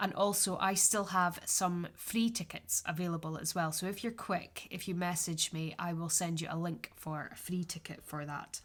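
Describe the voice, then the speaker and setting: Speaking with a northeastern Scottish accent, a woman talks at a moderate pace with hardly any pauses, her voice fairly low and somewhat breathy, her intonation fairly even. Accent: Scottish (north-east, Aberdeenshire). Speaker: podcast host, yarn dyer and craft teacher. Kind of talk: solo podcast chat. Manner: casual, with frequent fillers.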